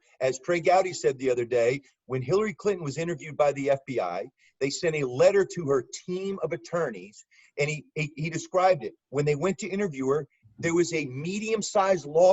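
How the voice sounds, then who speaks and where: In a New York accent, a man talks at a fairly quick pace with a high pitch, an animated tone, and ordinary pitch variation. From US South (Birmingham, Alabama). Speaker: former FBI agent and law enforcement analyst. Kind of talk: podcast interview. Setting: video call.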